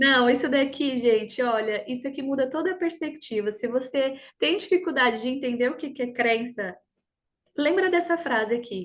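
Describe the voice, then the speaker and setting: This woman talks at a moderate pace in a high voice with lively intonation. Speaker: personal development coach. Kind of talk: online workshop talk.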